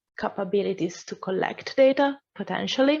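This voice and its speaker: Talking at a moderate pace, a woman uses a normal speaking voice with a fairly high pitch. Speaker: AI course instructor. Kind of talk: Q&A answer; lecture.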